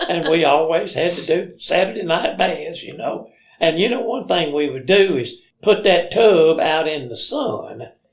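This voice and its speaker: In an Alabama accent, a man with a high pitch and lively intonation speaks at a fairly slow pace, his loudness swinging widely amid audible room echo. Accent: Southern US (Alabama). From US South, Limestone County, Alabama. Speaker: storyteller. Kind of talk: casual chat.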